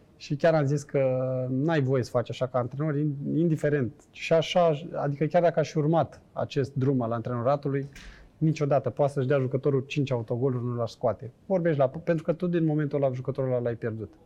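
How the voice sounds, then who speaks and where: A man's fairly high-pitched voice with a dark, mellow tone, delivered at a fairly quick pace with fairly even intonation. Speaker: former footballer and businessman. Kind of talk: casual interview chat.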